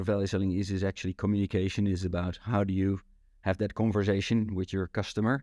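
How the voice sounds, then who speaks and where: Speaking very fast with a Dutch accent, a man has a fairly low pitch, a dark, mellow tone and monotone, flat intonation in a dry, close sound with no echo. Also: quiet background. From Netherlands, Rotterdam. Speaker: sales consultant. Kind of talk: interview.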